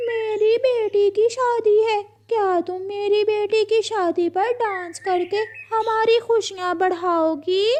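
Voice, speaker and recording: A woman uses a cartoonish character voice with an extremely high pitch. She talks very slowly, with hardly any pauses. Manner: sweet-talking, meowing between sentences.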